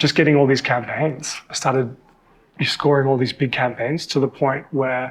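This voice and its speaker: A man speaks with an Australian accent at a medium pitch. His intonation is monotone and flat. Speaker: model and TV presenter. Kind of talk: casual interview chat.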